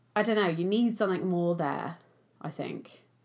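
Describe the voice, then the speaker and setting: On a very clean recording with a silent background, a woman speaks with an English accent and ordinary pitch variation. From England. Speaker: film podcast co-host. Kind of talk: casual chat.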